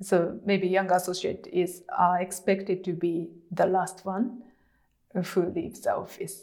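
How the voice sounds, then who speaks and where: A woman speaks at a fairly slow pace, her intonation fairly even. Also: medium pitch for a woman. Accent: Japanese. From Japan. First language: Japanese. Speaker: lawyer. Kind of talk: interview. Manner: halting, many fillers.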